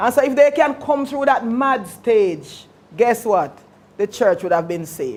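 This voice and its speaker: A high-pitched woman with a Jamaican accent speaks at a moderate pace. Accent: Jamaican English with patois features. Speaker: pastor. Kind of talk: lecture. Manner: conversational, engaging.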